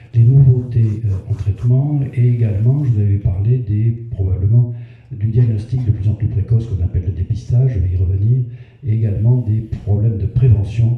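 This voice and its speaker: There is noticeable background noise as a man talks at a moderate pace. His pitch is medium and his intonation fairly even. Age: 70s. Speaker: retired cancer doctor giving a public talk. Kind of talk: public health lecture. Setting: community hall with audience. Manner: hesitant with frequent fillers.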